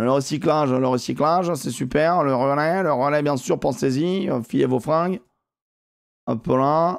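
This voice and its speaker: A man with a fairly high voice speaks at a fairly slow pace, his pitch varying in an ordinary way and his loudness very even against a quiet background. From southern France (near Montpellier); southern France. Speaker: gaming streamer. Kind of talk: live gaming stream commentary. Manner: animated. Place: home room. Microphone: headset.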